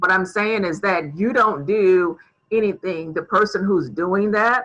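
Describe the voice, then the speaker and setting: A woman with a plain, everyday voice speaks at a medium pitch. She talks at a fairly slow pace with ordinary pitch variation. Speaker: tech tutor. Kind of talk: tutorial.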